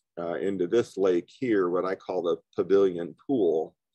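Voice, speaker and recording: A man speaks fairly low with fairly even intonation, the sound dry with no echo and the background quiet. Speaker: presenter. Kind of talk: lecture. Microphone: video call.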